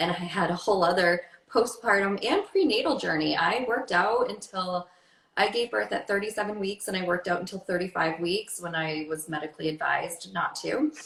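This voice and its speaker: Noticeable background noise sits behind a woman at medium pitch. She talks at a fairly quick pace in an animated tone, with ordinary pitch variation. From Maine. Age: 30s. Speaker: fitness and wellness coach. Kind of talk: interview. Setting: livestream.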